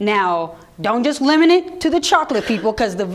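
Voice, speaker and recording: Lively in intonation, a woman speaks amid noticeable background noise and audible room echo. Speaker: radio program director. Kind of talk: audience Q&A talk. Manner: fast.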